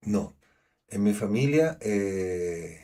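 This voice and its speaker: A man in a Chilean accent, with lively intonation and a dark, mellow tone. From Chile, Santiago. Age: 50s. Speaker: schoolteacher, actor and storyteller. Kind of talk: interview. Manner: halting, with repetitions.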